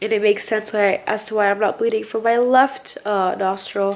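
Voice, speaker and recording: A woman puts on a character voice, pitched fairly high and sounding strained, with flat, monotone intonation at a moderate pace. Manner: slow, strained, hard to understand.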